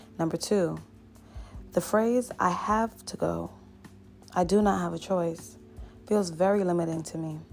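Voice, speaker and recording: Music plays in the background. A woman speaks at a fairly low pitch with fairly even intonation. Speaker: motivational speaker. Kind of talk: motivational pep talk. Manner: frank, casual.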